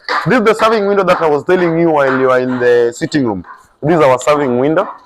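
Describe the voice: The voice has a fairly bright tone and ordinary pitch variation, moving at a fairly quick pace. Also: man.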